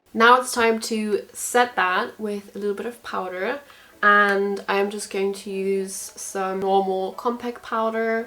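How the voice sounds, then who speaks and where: Speaking at a very slow pace in a German accent, a woman has medium pitch, a bright, sharp tone and a monotone, flat intonation. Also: big swings in loudness. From Germany. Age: 20s. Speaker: beauty vlogger. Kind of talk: tutorial. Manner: casual, chatty.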